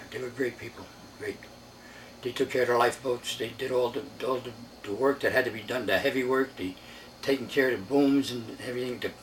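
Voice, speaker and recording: A man speaks at a fairly quick pace with an American accent and a medium pitch. There is noticeable background noise behind him. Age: 90s. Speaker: war veteran. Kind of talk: oral history interview. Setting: at home.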